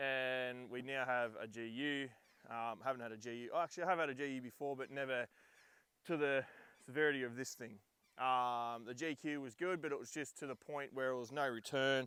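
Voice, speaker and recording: This man speaks with an Australian accent at a medium pitch, his tone bright and sharp and his pitch variation ordinary. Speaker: 4x4 vlogger. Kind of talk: vehicle rundown vlog. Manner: loud; hesitant, many ums.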